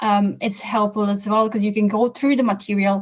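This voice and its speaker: A woman speaks with a non-native accent. Her voice is somewhat breathy. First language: not English. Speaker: course graduate giving testimonial. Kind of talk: interview testimonial.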